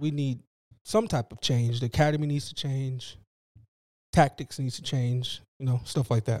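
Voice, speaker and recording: A man with an American accent speaks in a plain, everyday voice at medium pitch and moderate pace, with ordinary pitch variation and big swings in loudness. The recording is very clean, with a silent background, and the sound is dry and close with no echo. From US West Coast, East Oakland, California. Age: 30s. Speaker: activist and T-shirt seller. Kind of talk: casual interview.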